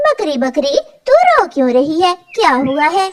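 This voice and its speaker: A woman puts on a cartoonish character voice, squeaky and extremely high in pitch. She talks at a moderate pace. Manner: sweetly manipulative.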